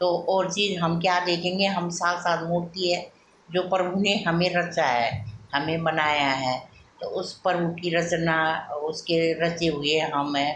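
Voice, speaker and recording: Over noticeable background noise, a woman with a fairly low voice speaks with fairly even intonation. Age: 50s. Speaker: vlogger. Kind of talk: casual devotional talk. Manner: halting, with fillers.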